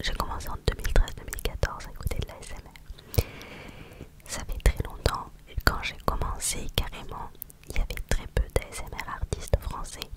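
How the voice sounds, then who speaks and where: A woman whispers at a moderate pace, with long, frequent pauses and big swings in loudness. Noticeable background noise is present. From Normandy, France. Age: 20s. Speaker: ASMR creator. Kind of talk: casual chat. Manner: whispering; soft-spoken.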